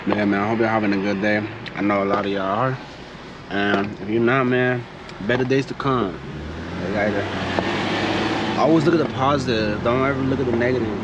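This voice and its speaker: A man with a relaxed tone, medium pitch, ordinary pitch variation and a moderate pace, with audible room echo and noticeable background noise. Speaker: car vlogger. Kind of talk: casual vlog while driving. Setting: in a car with windows down. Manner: casual, relaxed. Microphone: distortion from open window.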